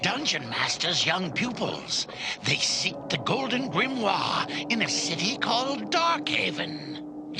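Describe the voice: In a cartoonish character voice pitched high, a man talks at a fairly slow pace over loud background noise.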